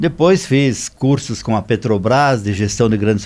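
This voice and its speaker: This man has an unremarkable speaking voice, a medium pitch, a moderate pace and ordinary pitch variation. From southern Brazil, Rio Grande do Sul. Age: 60s. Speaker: business consultant. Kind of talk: podcast interview.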